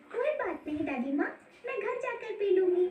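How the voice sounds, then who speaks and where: A woman puts on a squeaky, cartoonish character voice at an extremely high pitch, with very wide pitch swings, a moderate pace, and a slight echo. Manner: polite, warm.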